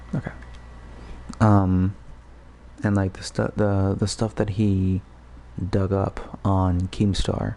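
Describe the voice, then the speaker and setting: A man whispers at a very slow pace. Long pauses come often. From Puerto Rico. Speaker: gaming livestreamer. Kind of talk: casual rambling livestream talk. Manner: whispering; halting, many fillers.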